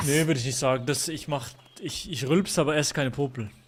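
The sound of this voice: A man with a fairly high voice speaks very fast, his pitch varying in an ordinary way, amid noticeable background noise.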